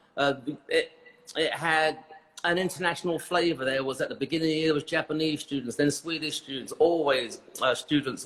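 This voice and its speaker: A man with a British accent at a fairly quick pace, fairly even intonation, and noticeable background noise. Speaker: hairdressing educator. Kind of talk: interview. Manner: halting.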